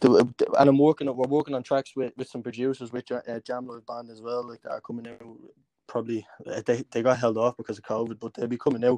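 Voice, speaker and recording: A man talks very fast at a medium pitch with a dark, mellow tone, flat monotone intonation and big swings in loudness, recorded dry and close with no echo. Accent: Dublin. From Dublin, Ireland (Crumlin). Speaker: independent musician and rapper. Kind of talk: casual interview.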